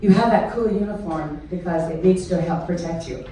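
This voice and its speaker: A woman with an American accent speaks at a medium pitch with ordinary pitch variation. Noticeable background noise and audible room echo are present. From US South, southern Mississippi. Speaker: retired teacher, guest speaker. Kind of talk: public speech. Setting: stage with audience. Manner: animated.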